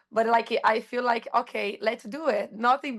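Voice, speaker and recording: A woman speaks with a high pitch and a Brazilian accent. Her pace is moderate. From Brazil, Rio de Janeiro. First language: Portuguese. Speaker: astrologer and surf instructor. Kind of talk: casual podcast interview. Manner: halting, searching for words.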